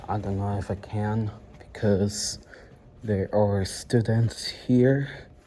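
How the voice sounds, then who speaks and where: A man's somewhat breathy voice at a very slow pace, in a monotone, flat intonation. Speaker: fire alarm hobbyist vlogger. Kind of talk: casual walkthrough vlog. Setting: indoors at a college building. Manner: hesitant, many fillers; quiet.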